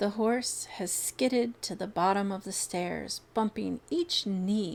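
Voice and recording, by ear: Someone reading aloud in a natural voice, the pitch varying an ordinary amount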